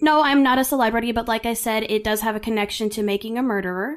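In a very clean recording with a silent background, a woman speaks in a plain, everyday voice, fairly high in pitch and with ordinary pitch variation. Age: 30s. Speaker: podcast host and entertainer. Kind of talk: casual true crime storytelling.

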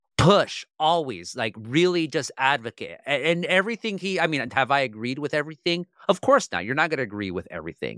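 A man with a bright, sharp tone and vocal fry talks at a fairly quick pace with very wide pitch swings and hardly any pauses. The recording is very clean, with a silent background and a dry, close sound with no echo. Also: fairly high pitch for a man. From Orange County, California. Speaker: newspaper columnist. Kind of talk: interview.

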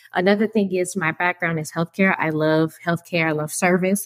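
Dry and close with no echo, this is a woman with an unremarkable speaking voice at fairly low pitch. She talks at a fairly quick pace with ordinary pitch variation. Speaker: seasoning business founder. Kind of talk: interview.

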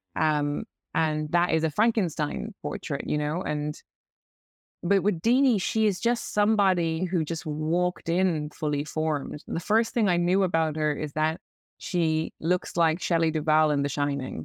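Fairly slow delivery from a woman with an Irish accent, fairly low pitch and ordinary pitch variation, in a dry, close sound with no echo. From Ireland, Cork. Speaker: novelist. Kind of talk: interview. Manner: halting.

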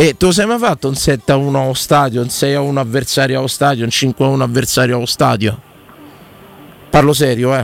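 Despite a fairly quick pace, a man with a Roman accent leaves long, frequent pauses. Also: medium pitch for a man, ordinary pitch variation. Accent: Roman Italian. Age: 40s. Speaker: sports radio host. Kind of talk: casual chat, football talk show. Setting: radio studio. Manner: animated, passionate.

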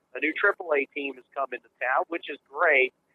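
This man has a plain, everyday voice. He speaks at a fairly slow pace with a fairly high pitch for a man. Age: 50s. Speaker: former sports radio broadcaster. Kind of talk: casual chat.

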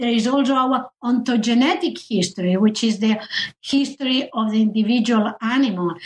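Here a woman speaks with a Spanish accent. Her voice is somewhat breathy. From Spain. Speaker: historian of science. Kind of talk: interview.

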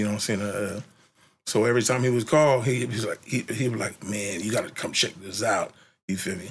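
A somewhat breathy man talks at a fairly quick pace. His pitch varies in an ordinary way. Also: medium pitch for a man. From San Francisco Bay Area (East Oakland, then North Vallejo). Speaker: rapper. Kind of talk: interview. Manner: halting, many fillers and repetitions.

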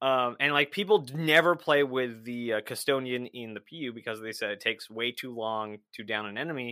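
A man's ordinary speaking voice at medium pitch, fairly quick with hardly any pauses, ordinary pitch variation, and big swings in loudness. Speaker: Twitch streamer and podcaster. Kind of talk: casual chat.

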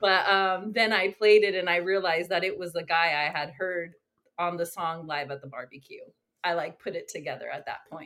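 A woman with an American accent has a normal speaking voice, fairly low in pitch, with ordinary pitch variation and a moderate pace. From Northern California coast, near Santa Cruz. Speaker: chiropractor and music writer. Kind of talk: casual interview chat.

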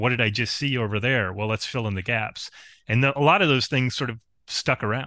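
Against a quiet background, a man with an American accent speaks at a fairly quick pace in a medium pitch, his bright, sharp tone carrying ordinary pitch variation. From rural upstate New York. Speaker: game author. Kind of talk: casual chat.

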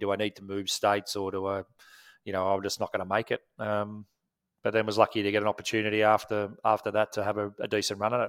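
Talking at a very fast pace in a monotone with flat intonation, a man comes through on a very clean recording with a silent background and a dry, close sound with no echo. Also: fairly low pitch for a man. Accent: Australian. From Australia, Wollongong (New South Wales). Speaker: former cricketer and coach. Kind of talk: interview. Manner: halting, many fillers.

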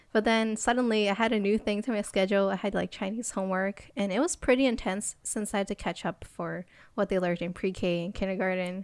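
A woman speaks in a plain, everyday voice with an American accent, at a medium pitch and a fairly quick pace. Her intonation is fairly even, and the recording is very clean with a silent background. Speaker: podcast co-host. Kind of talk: casual chat.

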